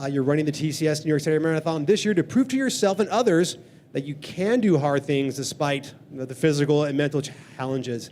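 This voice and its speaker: At a very fast pace, a man talks with ordinary pitch variation. His pitch is fairly high. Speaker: running organization director and panel moderator. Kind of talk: live panel moderation. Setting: event venue with live audience, live streamed. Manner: casual, upbeat.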